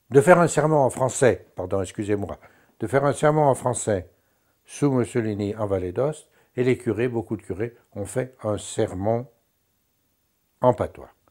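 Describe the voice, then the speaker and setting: A man with a medium pitch and a dark, mellow tone speaks with lively intonation on a very clean recording with a silent background. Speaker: linguist, dialectologist. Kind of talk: interview. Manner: halting, many hesitations.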